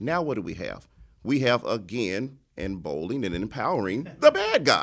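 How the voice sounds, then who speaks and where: Pitch swinging very widely, a man talks with vocal fry. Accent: American. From Chicago west and south side. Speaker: police chief and political candidate. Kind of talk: interview. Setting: studio. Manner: halting.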